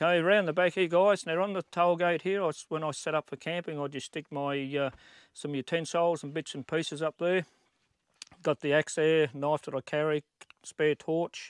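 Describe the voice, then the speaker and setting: Against a quiet background, a man talks at a moderate pace with fairly even intonation in a dry sound with no echo. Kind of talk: casual walkthrough tour. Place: open country. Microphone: phone near.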